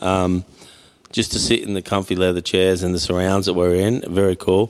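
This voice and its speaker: A man with an Australian accent speaks at a moderate pace. His pitch is very deep and low. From Mildura, Victoria, Australia. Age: 50s. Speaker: podcast host. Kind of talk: casual interview. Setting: barber shop.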